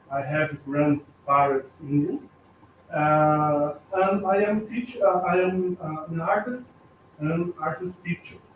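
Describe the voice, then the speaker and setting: A man with a Brazilian accent talks at a very slow pace. His pitch is high, with ordinary variation. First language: Portuguese. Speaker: artist and art teacher. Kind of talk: self-introduction at meeting. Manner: halting.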